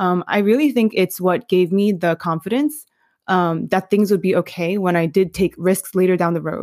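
A woman speaks at medium pitch and a moderate pace with an American accent, an unremarkable speaking voice, and ordinary pitch variation. The recording is very clean with a silent background and a dry, close sound with no echo. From New York City. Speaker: curriculum developer. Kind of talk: interview. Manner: casual, many fillers.

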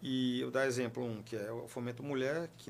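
Vocal fry runs through a man's medium-pitched voice. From Piauí, Brazil. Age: 30s. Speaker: regional government official and politician. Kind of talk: interview.

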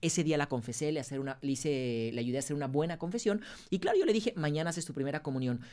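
On a very clean recording with a silent background, a man with a fairly high pitch speaks at a very fast pace. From Mexico, Guadalajara. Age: 30s. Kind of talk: interview.

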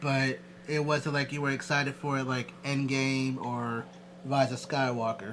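The man has a plain, everyday voice. His pitch is fairly high and his pace fairly slow. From Philadelphia, US. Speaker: podcast host. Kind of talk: casual chat.

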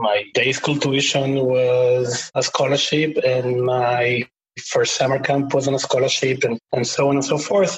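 A man at a medium pitch and fairly slow pace, with fairly even intonation and very even loudness. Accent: Argentine. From Buenos Aires, Argentina. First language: Spanish. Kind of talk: podcast interview.

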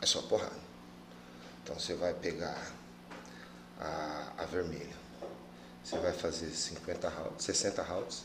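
The delivery is very slow, broken by long, frequent pauses. Room echo can be heard. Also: man. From Mato Grosso do Sul, Brazil (Campo Grande, Pantanal). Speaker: Muay Thai coach. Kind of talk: casual chat.

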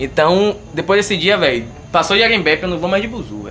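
A man speaks with music in the background. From Brazil, Bahia (Camaçari). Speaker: podcast co-host. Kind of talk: casual chat.

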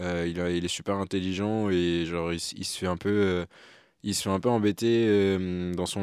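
A man speaks in a very deep, low voice. His pace is fairly slow and his intonation is monotone and flat. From Martinique. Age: 20s. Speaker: AI engineer and video creator. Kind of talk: casual chat. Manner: hesitant.

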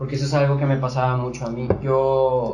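Speaking in a medium pitch with flat, monotone intonation, a man is heard through audible room echo and noticeable background noise. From Sonora, Mexico. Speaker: TikToker. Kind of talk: casual chat.

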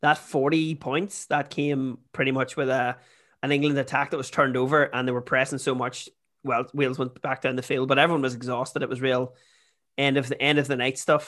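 At a fairly quick pace, a man speaks with monotone, flat intonation in a very clean recording with a silent background. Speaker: football podcast co-host. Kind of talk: casual chat.

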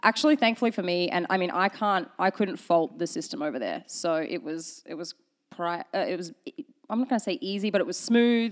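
At a fairly quick pace, a woman with an Australian accent talks at a medium pitch with lively intonation. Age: 30s. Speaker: baker. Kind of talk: casual chat.

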